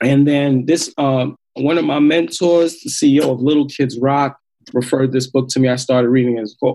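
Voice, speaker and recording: A man in a normal speaking voice keeps a moderate pace and a medium pitch. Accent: American. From Queens, New York. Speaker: social entrepreneur and hip hop artist. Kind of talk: interview.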